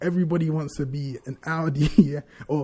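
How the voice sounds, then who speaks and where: Speaking with a London accent, a man delivers his words in a monotone, flat intonation, his fairly high pitch carrying a dark, mellow tone and a somewhat breathy edge. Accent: London multicultural English. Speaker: podcast co-host. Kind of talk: casual chat.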